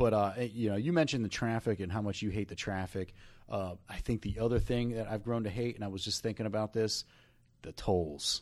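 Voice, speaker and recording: A man with a New Jersey accent speaks at a fairly quick pace, fairly low in pitch with ordinary variation. The recording is very clean, with a silent background. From North Jersey. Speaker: podcast co-host, real estate agent. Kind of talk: casual chat. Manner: hesitant, many fillers and repeats.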